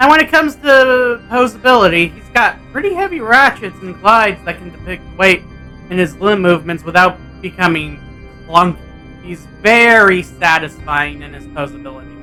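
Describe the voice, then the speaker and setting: Moderate-paced speech over music in the background. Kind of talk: toy review. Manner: casual.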